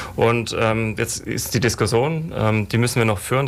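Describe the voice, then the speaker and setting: Fairly even intonation and a medium pitch from a man at a fairly quick pace, set against noticeable background noise. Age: 40s. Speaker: city traffic planning official. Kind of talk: radio panel discussion. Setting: radio studio.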